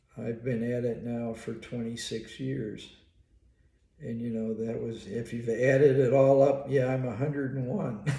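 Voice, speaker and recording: A man talks at a fairly slow pace in a medium pitch, his tone dark, mellow and somewhat breathy. His intonation is monotone and flat, with audible room echo around it. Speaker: psychologist and college professor. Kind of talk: casual monologue. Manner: halting.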